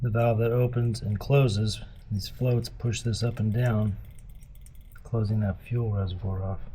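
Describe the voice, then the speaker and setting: A man's medium-pitched voice at a fairly slow pace, flat and monotone, with audible room echo. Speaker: DIY motorcycle mechanic. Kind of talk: tutorial. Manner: casual, halting.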